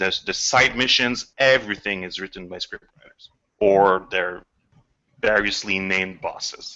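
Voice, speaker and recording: In a French accent, a man speaks at a moderate pace. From Quebec. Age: 40s. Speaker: video game scriptwriter. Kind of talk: casual chat. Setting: video call.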